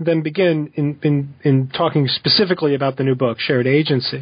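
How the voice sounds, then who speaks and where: A somewhat breathy man's voice, fairly high in pitch, with an American accent. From US, New Jersey. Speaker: podcast host, philosophy professor. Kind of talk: interview. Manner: hesitant, with fillers.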